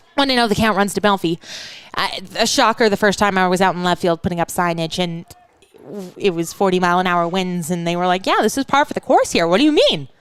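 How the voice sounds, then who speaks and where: Very fast and at a medium pitch, a woman with an American accent speaks with ordinary pitch variation over noticeable background noise. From Western Washington. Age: 20s. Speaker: baseball play-by-play announcer. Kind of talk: live commentary. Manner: casual, chatty.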